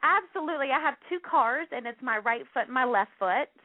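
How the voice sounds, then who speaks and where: A woman speaks in a Southern US accent. Her pitch is high. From US South, North Carolina. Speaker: plus-size model and actress. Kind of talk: radio interview.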